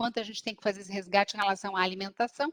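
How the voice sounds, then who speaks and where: With a Minas Gerais accent, a woman speaks in a bright, sharp tone, the sound dry and close with no echo. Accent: Minas Gerais (mineiro). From Minas Gerais, Brazil. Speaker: business strategist. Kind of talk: talk. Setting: video call. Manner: animated.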